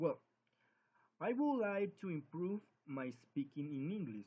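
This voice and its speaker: The speaker is a man. His intonation is lively. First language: Spanish. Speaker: English language student. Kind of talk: spoken class assignment. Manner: halting.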